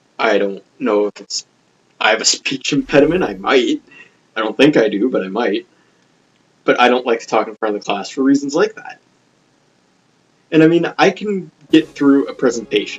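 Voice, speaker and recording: With lively intonation and a fairly high pitch, a man talks at a moderate pace, leaving long, frequent pauses. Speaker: gaming video creator. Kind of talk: let's play commentary. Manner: stumbles over words; casual, rambling delivery.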